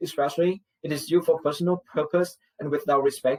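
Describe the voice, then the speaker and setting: Fairly quick, somewhat breathy speech in a Vietnamese accent, fairly even in intonation, with a dry, close sound and no echo. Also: man. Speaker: student. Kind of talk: class presentation. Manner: formal.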